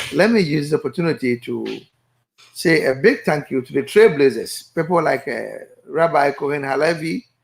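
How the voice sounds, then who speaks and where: At a moderate pace, a man with a fairly high pitch talks with lively intonation, vocal fry and big swings in loudness. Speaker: chief and project leader. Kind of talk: radio interview. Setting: studio, remote connection.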